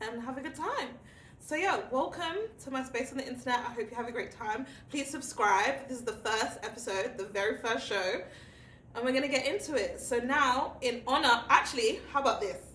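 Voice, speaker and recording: In a British accent, a woman speaks at a fairly quick pace with a high pitch, an animated tone and ordinary pitch variation, amid audible room echo and noticeable background noise. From England. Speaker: talk show host. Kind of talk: casual chat.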